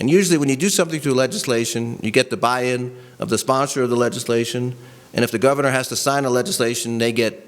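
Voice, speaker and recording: A man with an American accent speaks at a very fast pace. His pitch variation is ordinary. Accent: sometimes New York. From New York. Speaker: policy advocate, presenter. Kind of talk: presentation to a training audience. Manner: casual, conversational.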